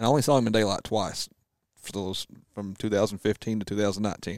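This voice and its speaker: Talking at a very fast pace, a man with a Southern accent keeps a fairly low pitch and fairly even intonation. The recording is very clean with a silent background and a dry, close sound with no echo. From US South. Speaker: whitetail deer hunter. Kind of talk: casual chat.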